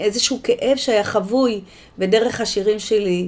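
A woman with an unremarkable speaking voice talks at a moderate pace and a fairly high pitch, with ordinary pitch variation. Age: 60s. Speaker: poet. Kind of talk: interview.

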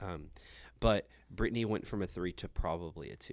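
In a very clean recording with a silent background, a man with an American accent speaks with ordinary pitch variation. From Houston area, Texas. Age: 30s. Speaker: church planter. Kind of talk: casual chat.

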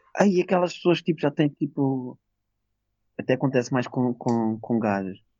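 Speaking in a Lisbon accent, a man with a medium pitch talks at a moderate pace with lively intonation and long, frequent pauses. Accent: European Portuguese, Lisbon. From Portugal, Lisbon. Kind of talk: casual chat. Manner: loud.

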